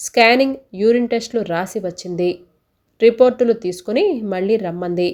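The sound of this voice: An unforced reading voice comes through with ordinary pitch variation. The background is quiet.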